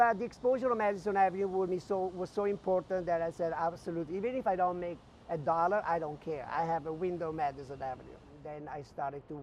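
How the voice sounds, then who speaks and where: A man with an Italian accent speaks at a fairly quick pace in a high voice with ordinary pitch variation. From northern Italy, near Venice. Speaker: visual merchandising director. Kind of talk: interview, personal career story. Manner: hesitant, many fillers.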